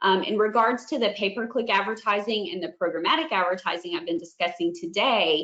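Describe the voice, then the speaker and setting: A woman at a medium pitch talks at a fairly quick pace with hardly any pauses. Her pitch swings very widely. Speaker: franchise marketing director. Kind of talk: webinar presentation. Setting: online webinar. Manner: fast.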